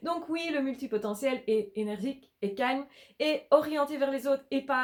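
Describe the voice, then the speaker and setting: Fairly slow pace with ordinary pitch variation. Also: woman. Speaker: life coach / YouTuber. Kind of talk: vlog monologue. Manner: energetic, stumbling at times.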